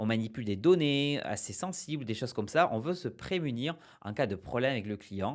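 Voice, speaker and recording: A man's voice moves in very wide pitch swings on a very clean recording with a silent background. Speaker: small-business advice youtuber. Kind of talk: explainer video. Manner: fast; hesitant, many fillers.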